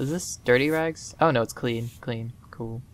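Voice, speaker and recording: This is a man speaking. His pitch is medium. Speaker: gaming video creator. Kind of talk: let's play commentary. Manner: monotone; casual, filler-heavy.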